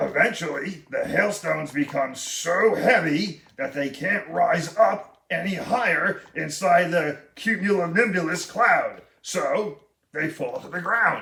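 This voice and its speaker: With hardly any pauses, a cartoonish character voice moves along at a fairly slow pace. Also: man, high pitch for a man. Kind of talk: educational facts for children. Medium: puppet.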